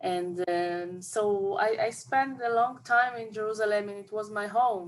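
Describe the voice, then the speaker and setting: A woman with an Israeli accent, medium pitch and ordinary pitch variation. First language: Hebrew. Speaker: film director. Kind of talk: interview. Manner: halting.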